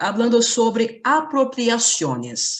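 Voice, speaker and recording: Speaking at a fairly slow pace, a woman with a Portuguese accent lets her pitch swing very widely. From Brazil. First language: Portuguese (speaking Spanish). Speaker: university lecturer, panelist. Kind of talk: conference presentation. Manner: read from script.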